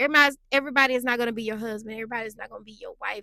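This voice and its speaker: A woman with a high pitch speaks in an animated tone that sounds bright and sharp. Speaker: relationship vlogger. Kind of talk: casual monologue.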